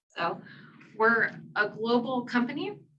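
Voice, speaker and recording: Speaking in an American accent, a woman talks at a fairly high pitch. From New York/New Jersey area, US. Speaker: applications engineer, presenter. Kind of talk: technical presentation. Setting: podium before live audience. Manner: animated.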